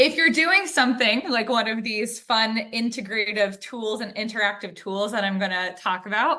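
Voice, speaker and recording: Moderate pace with hardly any pauses, an American accent, ordinary pitch variation, and audible room echo. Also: woman, fairly high pitch for a woman. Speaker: webinar presenter. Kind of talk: lecture. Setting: video call.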